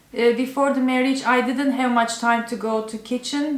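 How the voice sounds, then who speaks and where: With a Turkish accent, the speaker talks in a monotone, flat intonation over noticeable background noise. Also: woman. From Turkey. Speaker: cooking YouTuber. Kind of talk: casual Q&A video talk. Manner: halting, with fillers.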